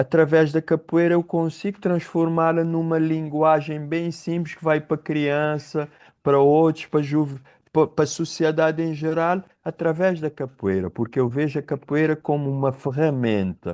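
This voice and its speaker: Over a quiet background, a man with a Cape Verdean accent talks at a moderate pace in a fairly high pitch. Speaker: capoeira teacher and professor. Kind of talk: podcast interview. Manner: halting, with false starts.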